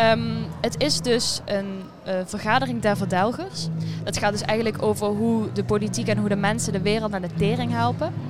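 A woman speaks with music in the background and audible room echo. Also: moderate pace. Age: young. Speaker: student and poetry competition entrant. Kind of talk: casual interview. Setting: theatre foyer.

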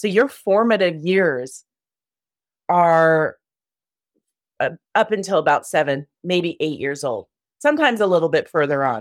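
A woman talks at a fairly slow pace, leaving long, frequent pauses. Her pitch is fairly low, and her intonation is lively. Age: 50s. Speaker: shamanic love coach. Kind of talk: casual chat.

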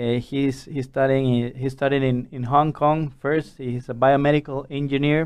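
A man with a Spanish accent speaks at a fairly high pitch in a flat monotone. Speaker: podcast host. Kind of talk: interview. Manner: halting.

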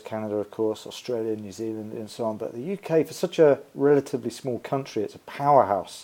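This man talks at a fairly quick pace in a medium pitch. His tone is dark and mellow. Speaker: podcast host and sports nutrition educator. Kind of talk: podcast interview.

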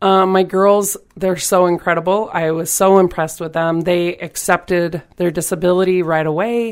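In an American accent, a woman speaks with a fairly low pitch and monotone, flat intonation at a moderate pace with hardly any pauses, on a very clean recording with a silent background. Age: 40s. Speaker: volleyball player and coach. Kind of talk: interview.

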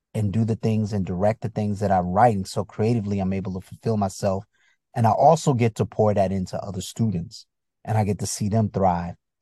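The voice is somewhat breathy and dark, mellow in tone, with ordinary pitch variation. The sound is dry and close with no echo, over a quiet background. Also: man. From US Northeast, Bridgeport, Connecticut. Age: 50s. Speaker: comedian and actor. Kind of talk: casual interview chat. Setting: video call.

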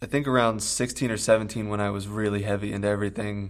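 Very fast, fairly low male speech with typical pitch movement. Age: 20s. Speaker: addiction treatment worker in recovery. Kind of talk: interview.

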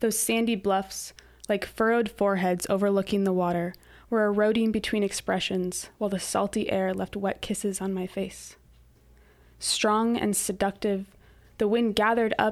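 A woman talks at medium pitch and a moderate pace with monotone, flat intonation on a very clean recording with a silent background. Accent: American. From Sequim, Washington. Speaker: poet laureate. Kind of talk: poetry reading, reading own poem aloud. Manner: measured, lyrical, expressive.

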